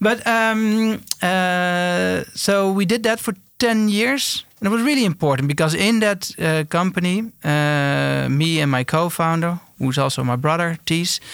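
A man's high-pitched voice with a Dutch accent, lively intonation, very even loudness and a fairly slow pace. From eastern Netherlands. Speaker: entrepreneur, company founder. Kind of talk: interview. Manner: halting.

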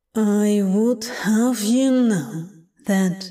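A woman uses a put-on character voice at a medium pitch. It is booming and resonant. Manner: slow, deliberate, angry.

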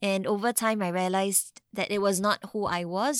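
In a Singaporean accent, a woman speaks at a medium pitch, with a dry, close sound, no echo, and a very clean recording over a silent background. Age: 30s. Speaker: mental health nonprofit co-founder. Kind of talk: interview.

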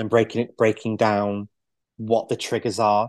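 A man with a Mancunian accent speaks at a fairly low pitch in a monotone, flat intonation. The sound is dry and close with no echo, and the background is quiet. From northern England, Manchester. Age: 40s. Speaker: podcast guest in recovery. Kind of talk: casual interview.

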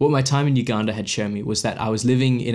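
A man speaks very fast with an Australian accent. His intonation stays fairly even. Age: 20s. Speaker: podcast host and photographer. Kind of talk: scripted narration. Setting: at his desk.

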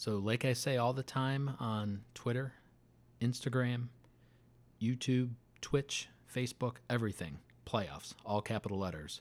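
Speaking at a fairly slow pace with long, frequent pauses, a man uses a medium pitch and ordinary pitch variation. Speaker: podcast host and football fan. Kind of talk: casual chat. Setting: recording at home. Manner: animated.

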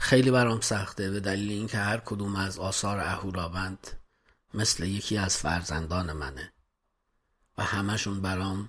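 At a moderate pace and with fairly even intonation, a man speaks in a very deep, low voice in a very clean recording with a silent background. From Iran, Kermanshah. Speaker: musician and composer. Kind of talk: interview.

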